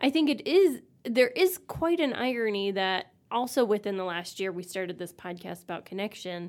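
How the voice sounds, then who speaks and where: A woman has an ordinary speaking voice at medium pitch, with lively intonation and big swings in loudness. She goes at a moderate pace with hardly any pauses. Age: 40s. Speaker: podcast co-host and author. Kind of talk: casual chat.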